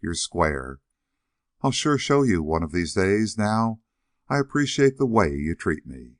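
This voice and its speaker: Using a put-on character voice, a man sounds whiny at a fairly low pitch, speaking fairly slowly with very wide pitch swings in a dry, close sound with no echo. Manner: half whining.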